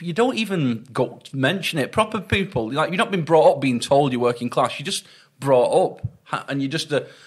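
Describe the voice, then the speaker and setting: With a Lancashire accent, a man speaks at a moderate pace, his fairly high voice carrying lively intonation. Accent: Wigan. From northern England, Wigan. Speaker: stand-up comedian. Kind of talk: casual interview chat. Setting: in-person sit-down interview. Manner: halting, self-interrupting.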